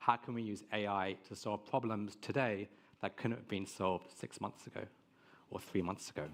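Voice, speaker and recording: Speaking with an English accent, a man uses a fairly low pitch and fairly even intonation at a moderate pace. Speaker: tech marketing head. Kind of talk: conference presentation.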